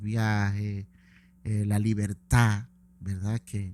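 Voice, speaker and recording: Speaking at a very slow pace, a man uses a fairly low pitch and a dark, mellow tone. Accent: Maracaibo. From Venezuela, Maracaibo (Zulia). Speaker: event promoter. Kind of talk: interview.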